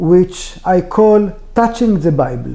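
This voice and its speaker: Very slow in pace, a man with an Israeli accent speaks at a high pitch with ordinary pitch variation. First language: Hebrew. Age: 60s. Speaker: author. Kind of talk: interview. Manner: halting.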